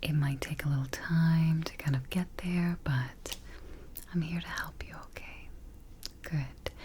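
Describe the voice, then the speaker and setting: A soft-spoken woman talks at a fairly slow pace in a very deep, low voice with a calm, soothing tone. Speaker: ASMR artist playing a sleep expert. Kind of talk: ASMR sleep roleplay with guided relaxation. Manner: soft-spoken, calm, slow, soothing.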